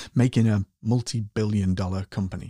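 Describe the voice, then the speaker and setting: A man speaks at a moderate pace in a fairly low, somewhat breathy voice with a dark, mellow tone, recorded very cleanly against a silent background with a dry, close sound and no echo. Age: 40s. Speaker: podcast host. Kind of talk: reflective monologue.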